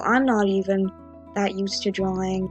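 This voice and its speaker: A woman speaks at a moderate pace while music plays behind her. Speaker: digital artist. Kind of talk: drawing tutorial narration. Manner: casual, hesitant.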